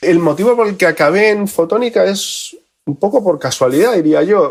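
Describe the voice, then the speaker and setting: A man talks with lively intonation. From Spain, with childhood years in Argentina. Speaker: photonics engineer. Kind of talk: podcast interview.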